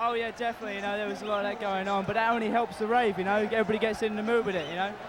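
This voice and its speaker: A man with a London accent, high-pitched and very fast, monotone and flat, with noticeable background noise and audible room echo. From England, London. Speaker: festival-goer. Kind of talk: casual interview.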